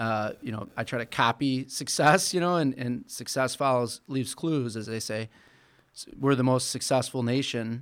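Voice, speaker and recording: In an American accent, a man with a plain, everyday voice talks at a medium pitch and moderate pace with ordinary pitch variation, on a very clean recording with a silent background. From Michigan, Flint. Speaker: business owner and political activist. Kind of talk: interview.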